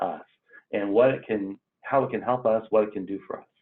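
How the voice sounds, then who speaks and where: This man has an ordinary speaking voice with ordinary pitch variation. He talks at a moderate pace. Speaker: extension educator leading staff onboarding. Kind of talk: online training meeting. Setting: video call.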